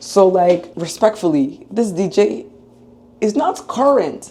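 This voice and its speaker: A woman speaks at a fairly slow pace in a medium pitch, her intonation lively over noticeable background noise. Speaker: dental student vlogger. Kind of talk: casual vlog chat.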